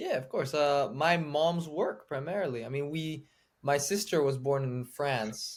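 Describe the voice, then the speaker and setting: With a European accent and ordinary pitch variation, a man is heard on a very clean recording with a silent background. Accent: non-Southern, European-sounding. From Switzerland, Geneva. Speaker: filmmaker, streaming platform co-founder. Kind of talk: casual chat.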